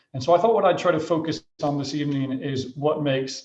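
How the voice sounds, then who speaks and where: A man with an American accent speaks at a moderate pace with a fairly high pitch. His voice is somewhat breathy, and there is audible room echo. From Michigan, US Midwest. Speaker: headmaster. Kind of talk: school presentation to parents. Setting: video call. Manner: hesitant fillers.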